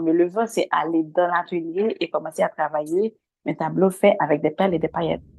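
A woman with a Haitian accent, fairly low in pitch, at a moderate pace. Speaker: visual artist. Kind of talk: interview.

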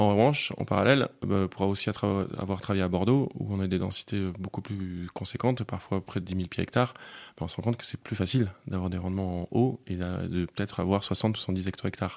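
In a very clean recording with a silent background, a man with a very deep, low voice speaks at a fairly quick pace with fairly even intonation. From Bergerac, southwest France. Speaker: winemaker. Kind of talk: interview.

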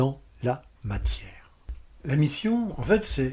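In a very clean recording with a silent background, a man speaks in a dark, mellow tone that is somewhat breathy. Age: 60s. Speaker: podcast host, personal development coach. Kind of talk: solo podcast talk. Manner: warm, smiling.

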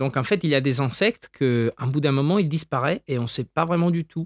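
A man speaks at medium pitch. The background is quiet. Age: 20s. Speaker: doctoral researcher in insect ecology. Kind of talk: interview, popular science explanation.

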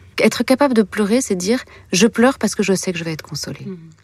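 At a fairly quick pace, a woman speaks in a somewhat breathy voice. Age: 40s. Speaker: author and filmmaker. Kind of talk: interview about grief and consolation. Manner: hesitant, with fillers and repetitions.

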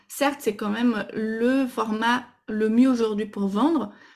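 Somewhat breathy and fairly high in pitch, a woman speaks at a fairly slow pace with fairly even intonation. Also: very clean recording, silent background. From Brazil. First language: Portuguese (speaking French). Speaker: Instagram stories coach. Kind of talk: podcast interview. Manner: hesitant, with fillers.

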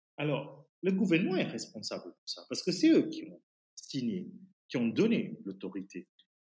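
A man at a moderate pace, with big swings in loudness and long, frequent pauses. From Fiji. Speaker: teacher and writer. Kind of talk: interview. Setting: remote call. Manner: halting.

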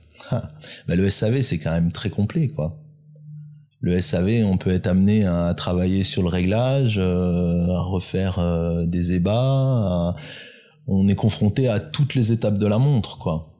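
Over music in the background, a man with a very deep, low pitch speaks at a very slow pace, with ordinary pitch variation, very even loudness and long, frequent pauses. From France, Grenoble area (Alps). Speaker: independent watchmaker. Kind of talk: interview. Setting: workshop. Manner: halting.

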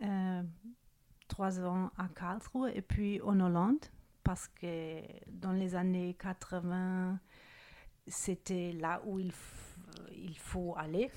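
A woman speaks in a dark, mellow tone with fairly even intonation. She goes at a very slow pace with long, frequent pauses. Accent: German. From Germany. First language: German (speaking French). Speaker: recorder maker. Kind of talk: interview. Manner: halting.

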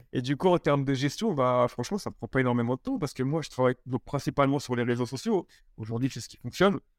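The speech comes at a very fast pace with ordinary pitch variation and big swings in loudness. The sound is dry and close with no echo, on a very clean recording with a silent background. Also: man, medium pitch for a man. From Paris region, France. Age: 30s. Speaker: entrepreneur. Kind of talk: interview. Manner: halting, many repetitions and fillers.

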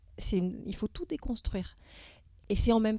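A woman's fairly high voice with a dark, mellow tone at a moderate pace. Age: 50s. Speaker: poet and clinical psychologist. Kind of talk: casual interview. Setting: theatre venue. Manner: halting.

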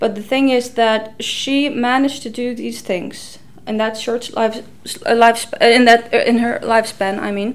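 Over noticeable background noise, a woman with an Icelandic accent and a fairly high pitch speaks at a fairly slow pace in monotone, flat intonation. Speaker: historian. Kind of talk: interview.

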